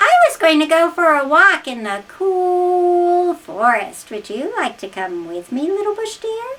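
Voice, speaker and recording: An extremely high-pitched put-on character voice from a woman, delivered fairly slowly. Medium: read story. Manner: coaxing, sly.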